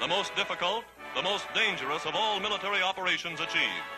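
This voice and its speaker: A man races along at a very fast pace while music plays in the background. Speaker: newsreel narrator. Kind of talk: wartime newsreel narration.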